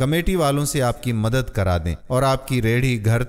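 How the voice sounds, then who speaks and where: This is a plain, everyday voice. Its pitch varies in an ordinary way. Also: man. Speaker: motivational story narrator. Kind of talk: moral story narration.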